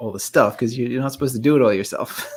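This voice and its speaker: A man speaks with an English accent. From England. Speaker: YouTuber, former animator. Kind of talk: casual interview chat. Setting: live stream.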